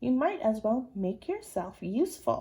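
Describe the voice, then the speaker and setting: Using a put-on character voice, a woman talks at a moderate pace with a high pitch and very wide pitch swings. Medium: read story. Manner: stern, precise.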